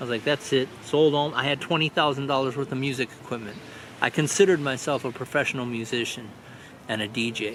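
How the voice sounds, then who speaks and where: A man's medium-pitched voice with an American accent, very fast, with ordinary pitch variation and noticeable background noise. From Michigan, near Detroit. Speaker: vlogger. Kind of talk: casual vlog monologue. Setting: outdoors on a beach.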